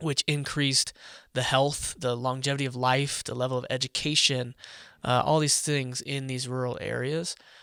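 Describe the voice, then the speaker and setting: Speaking with an American accent, a man has a bright, sharp tone, medium pitch and monotone, flat intonation at a moderate pace. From US Midwest, Omaha, Nebraska. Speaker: tech entrepreneur and data privacy advocate. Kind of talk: casual interview.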